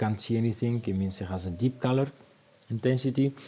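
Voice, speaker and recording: A man is speaking. He has a non-native accent. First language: not English. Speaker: wine educator. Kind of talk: tutorial. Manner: halting, many fillers.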